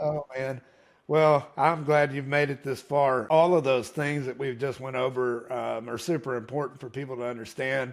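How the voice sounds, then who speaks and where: A man with a normal speaking voice, medium pitch, fairly even intonation and a moderate pace. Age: 40s. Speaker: podcast host. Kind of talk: interview.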